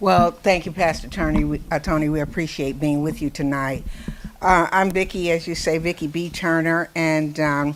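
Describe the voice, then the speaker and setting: Speaking in an American accent, a woman has a very deep, low pitch. Her intonation stays fairly even at a moderate pace. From Ohio, US Midwest. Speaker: radio host. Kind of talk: casual chat. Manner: halting.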